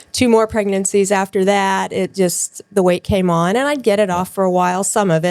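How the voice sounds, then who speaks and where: A woman speaks at a moderate pace in a plain, everyday voice, medium in pitch with fairly even intonation, recorded dry and close with no echo. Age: 60s. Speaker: nurse. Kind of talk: interview.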